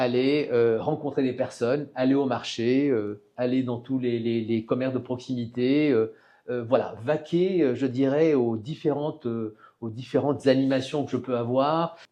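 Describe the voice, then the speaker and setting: A man with a medium pitch talks fairly slowly, his intonation fairly even. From southern France (Var). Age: 60s. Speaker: local politician. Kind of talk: interview. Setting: studio. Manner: hesitant, many fillers.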